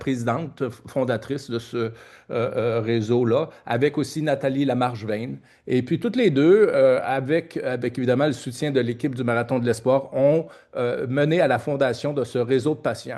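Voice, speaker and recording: Using a Quebec accent, a man talks at a moderate pace and fairly high pitch, with ordinary pitch variation. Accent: Québécois French. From Quebec (Trois-Rivières). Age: 60s. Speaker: oncologist and research network executive director. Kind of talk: conference speech. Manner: halting, many hesitations and repetitions.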